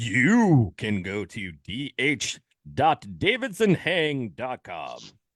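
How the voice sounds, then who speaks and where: Using a put-on character voice at medium pitch, a man speaks at a very slow pace. The recording is very clean, with a silent background. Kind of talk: polished, broadcast-style.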